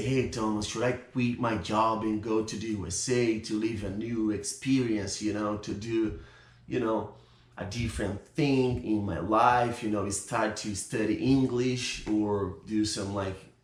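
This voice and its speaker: The speech moves at a fairly slow pace with fairly even intonation. Room echo is audible. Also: man. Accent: Brazilian. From Brazil, São Paulo. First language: Portuguese. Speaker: YouTuber. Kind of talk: casual vlog talk to camera.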